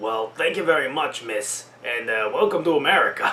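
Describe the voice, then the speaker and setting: Putting on a raspy character voice, a man speaks at a moderate pace in a fairly high pitch. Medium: game stream.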